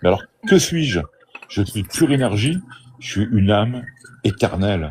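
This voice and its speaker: A man speaks with ordinary pitch variation. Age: 60s. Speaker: out-of-body experience speaker. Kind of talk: live stream discussion. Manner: animated.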